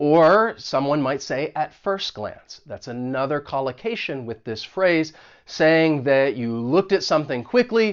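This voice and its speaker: A plain, everyday voice from a man with an American accent, fairly high in pitch, moderate in pace, and lively in intonation. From United States. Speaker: English teacher. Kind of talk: tutorial.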